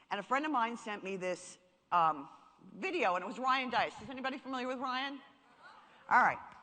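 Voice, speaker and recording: The woman speaks at a fairly quick pace. Her tone is animated. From New York. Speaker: marketing speaker. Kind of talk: seminar talk.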